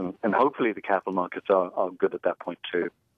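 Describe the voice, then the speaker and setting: A man talks at a very fast pace. He has an English accent. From England. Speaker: tech company CEO. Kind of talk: radio interview. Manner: halting, repeats words.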